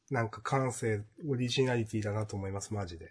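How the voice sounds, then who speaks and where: A man speaks at a moderate pace, somewhat breathy. The background is quiet. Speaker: manga podcast co-host. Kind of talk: casual chat.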